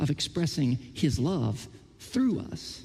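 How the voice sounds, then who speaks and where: A man talks in an American accent with a fairly high pitch. His tone is dark and mellow, with vocal fry. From Oklahoma. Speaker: pastor. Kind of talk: sermon. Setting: church.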